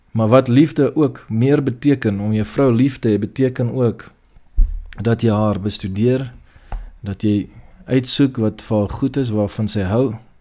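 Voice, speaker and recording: A man speaks in a dark, mellow tone. His intonation stays fairly even. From South Africa. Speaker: online preacher; church pastor. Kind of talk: sermon. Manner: halting. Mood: earnest, calm. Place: home room. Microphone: webcam.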